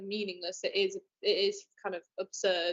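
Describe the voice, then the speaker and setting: A woman speaks with a northern English accent. Her intonation is lively. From northern England. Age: young. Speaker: young filmmaker. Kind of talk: online interview.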